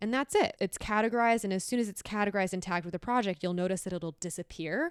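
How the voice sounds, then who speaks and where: A woman speaks in an ordinary speaking voice at medium pitch, with ordinary pitch variation. The sound is dry and close, with no echo. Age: 30s. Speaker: artist and podcaster. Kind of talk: software tutorial walkthrough.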